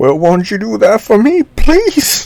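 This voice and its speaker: Using a put-on character voice, a man speaks high in pitch at a fairly slow pace, with very wide pitch swings. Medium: audio drama.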